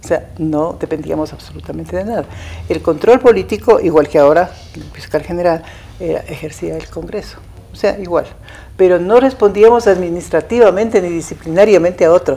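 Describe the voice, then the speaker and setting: A woman talks at a fairly quick pace with big swings in loudness as faint music plays in the background. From Ecuador, Ibarra; Ecuador. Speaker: former attorney general. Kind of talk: interview. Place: studio. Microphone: lapel.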